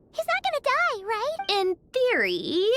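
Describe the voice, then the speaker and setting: This is a squeaky, cartoonish character voice at an extremely high pitch. It moves at a fairly slow pace. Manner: brusque, skeptical.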